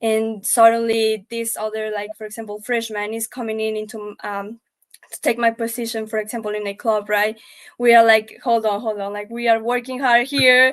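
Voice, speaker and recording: With a strong Spanish accent, a woman speaks in a monotone, flat intonation. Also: fairly high pitch for a woman, moderate pace. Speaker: panelist. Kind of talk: panel discussion. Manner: halting.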